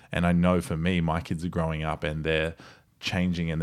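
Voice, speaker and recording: A man with a very deep, low pitch talks in an Australian accent. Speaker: podcast host. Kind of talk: casual chat. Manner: animated, energetic.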